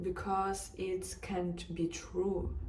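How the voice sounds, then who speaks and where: Noticeable background noise fills the recording. A woman talks amid audible room echo. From Ukraine, Kharkiv. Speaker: interviewee. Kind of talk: personal testimony.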